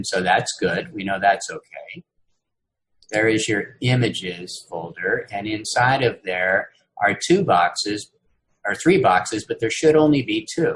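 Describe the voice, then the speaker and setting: A man speaks at a medium pitch and a fairly slow pace. His pitch swings very widely. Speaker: university instructor. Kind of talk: lecture. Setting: video call.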